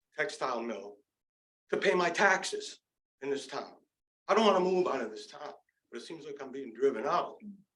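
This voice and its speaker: A man speaks at a fairly quick pace with a fairly high pitch, lively intonation and big swings in loudness. Long, frequent pauses break up his speech, and room echo is audible. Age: 60s. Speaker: resident speaking at public comment. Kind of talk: public comment at town meeting. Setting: town council meeting. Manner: animated.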